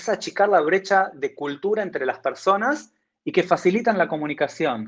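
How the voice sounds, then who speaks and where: A man's high-pitched voice unfolds at a fairly slow pace. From Argentina. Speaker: technology entrepreneur. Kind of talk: interview.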